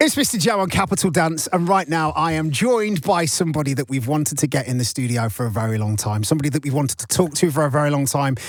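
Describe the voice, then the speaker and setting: A man with a Nottingham accent speaks at a very fast pace, fairly high in pitch and somewhat breathy. His tone is energetic and upbeat, with very wide pitch swings. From Nottingham, England. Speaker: radio DJ and host. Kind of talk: radio interview. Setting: radio studio. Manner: energetic, upbeat.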